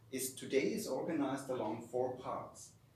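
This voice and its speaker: Over noticeable background noise and audible room echo, the intonation stays lively. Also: man. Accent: German. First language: German. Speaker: academic researcher. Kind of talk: lecture. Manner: reading from a script.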